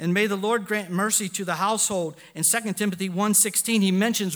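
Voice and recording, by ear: With fairly even intonation, the clip is reading aloud in a natural voice.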